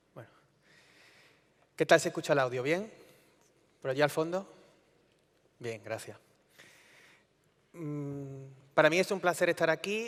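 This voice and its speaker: A man speaks with a slight Andalusian accent, lively intonation and big swings in loudness, leaving long, frequent pauses. The recording is very clean, with a silent background. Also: fairly high pitch for a man, fairly slow pace. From Andalusia, Spain (Córdoba). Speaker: EU energy policy official. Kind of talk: conference talk. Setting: conference stage with audience. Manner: conversational, informal.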